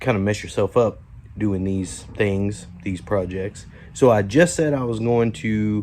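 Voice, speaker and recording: At a very slow pace, a man talks with a dark, mellow tone and a fairly low pitch. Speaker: DIY home renovation vlogger. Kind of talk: casual vlog narration. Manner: casual with many fillers; quiet, trying not to wake family.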